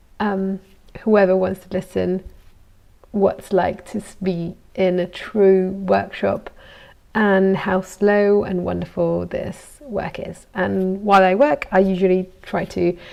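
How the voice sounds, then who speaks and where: A woman's medium-pitched voice with a slight Italian accent, very slow and monotone, with flat intonation. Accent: good English accent, slightly Italian. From Italy. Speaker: goldsmith. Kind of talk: casual live vlog while working. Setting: workshop. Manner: relaxed, hesitant with fillers.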